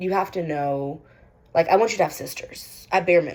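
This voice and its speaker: A woman's very deep, low voice shows vocal fry and ordinary pitch variation. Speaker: vlogger. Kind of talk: casual monologue vlog. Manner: rambling, many fillers.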